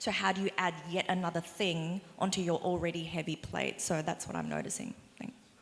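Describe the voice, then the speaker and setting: A woman talks at a fairly quick pace with an Australian accent. Her intonation is fairly even. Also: fairly low pitch for a woman. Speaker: small business owner on panel. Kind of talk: panel discussion.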